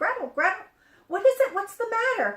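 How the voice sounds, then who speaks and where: A woman does a put-on character voice, squeaky and extremely high-pitched, at a moderate pace. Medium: read story.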